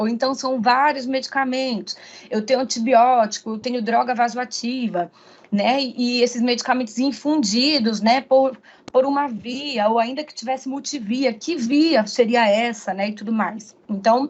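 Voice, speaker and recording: A woman with a high pitch speaks at a fairly slow pace. Her intonation is fairly even. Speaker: pharmacist, guest lecturer. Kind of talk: online lecture. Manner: frequent fillers and repetitions.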